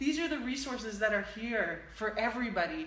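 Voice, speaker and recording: A woman's fairly high voice at a moderate pace, lively intonation and audible room echo. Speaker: live-stream show host and healing practitioner. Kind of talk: casual interview chat wrap-up. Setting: live stream broadcast. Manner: loud, like shouting.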